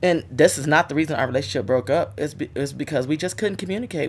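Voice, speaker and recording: A woman's very deep, low pitch at a very fast pace, with an animated tone. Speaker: guest sharing her marriage story. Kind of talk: casual interview chat. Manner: loud.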